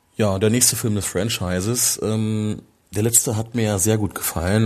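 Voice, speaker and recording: A man talks at a moderate pace in a fairly low voice, with fairly even intonation, very even loudness and hardly any pauses. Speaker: film podcaster. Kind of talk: solo film review podcast. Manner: halting, many fillers.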